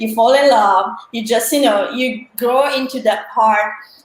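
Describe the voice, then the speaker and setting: A woman speaks with fairly high pitch. Audible room echo and noticeable background noise fill the recording. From Italy. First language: Italian. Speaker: marketing and sales professional. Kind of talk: panel talk in a live online career event.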